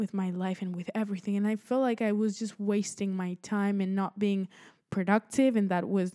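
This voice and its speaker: The speaker has a Spanish accent, a dark, mellow tone and monotone, flat intonation at a moderate pace. The sound is dry and close with no echo, a very clean recording with a silent background. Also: woman. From Spain. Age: 20s. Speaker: podcast host, college student. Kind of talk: casual monologue. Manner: halting, many fillers.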